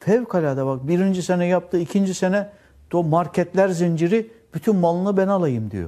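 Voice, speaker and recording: A man's voice sits at a high pitch yet has a dark, mellow tone. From Turkey, Antalya. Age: 60s. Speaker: exiled former school administrator, now cook. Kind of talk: interview testimony.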